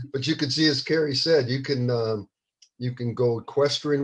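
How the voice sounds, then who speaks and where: This man's voice sits at a medium pitch. There is a somewhat breathy quality to it. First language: not English (English is his third language). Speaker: children's book author. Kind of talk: casual talk before a live book reading. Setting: live video stream. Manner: hesitant, many fillers.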